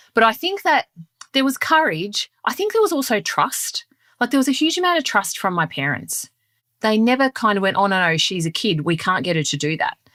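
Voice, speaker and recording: A woman's fairly high, bright, sharp voice in an Australian accent, with very wide pitch swings, a fairly quick pace, a dry, close sound with no echo, and a very clean recording with a silent background. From Melbourne, Australia. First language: Sicilian dialect of Italian. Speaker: leadership guest. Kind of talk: interview.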